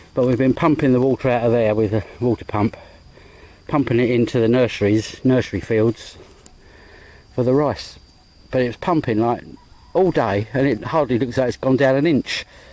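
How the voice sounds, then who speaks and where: A man's medium-pitched voice with a dark, mellow tone, very even loudness and ordinary pitch variation, at a moderate pace marked by long, frequent pauses. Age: 60s. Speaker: vlogger. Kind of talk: casual vlog narration. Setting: outdoors. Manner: rambling, hesitant.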